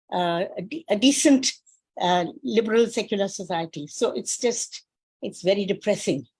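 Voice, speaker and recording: A woman talks at a fairly slow pace with very wide pitch swings. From India. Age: 80s+. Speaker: professor. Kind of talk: audience comment. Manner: halting.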